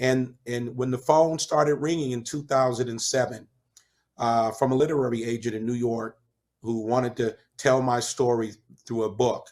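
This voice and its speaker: Fairly even intonation marks a man's ordinary speaking voice at a moderate pace and medium pitch. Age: 50s. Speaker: chef and author, former prisoner. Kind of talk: interview.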